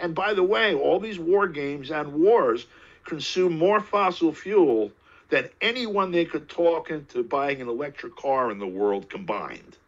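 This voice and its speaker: Speaking at a fairly slow pace, a man with an American accent uses a high pitch with very wide pitch swings. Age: 60s. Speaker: political commentator. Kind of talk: interview.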